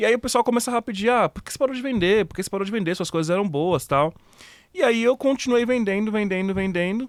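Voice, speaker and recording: A man talks at a very fast pace in a high voice with ordinary pitch variation and a dry, close sound with no echo. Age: 30s. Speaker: online retailer. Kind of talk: casual interview chat.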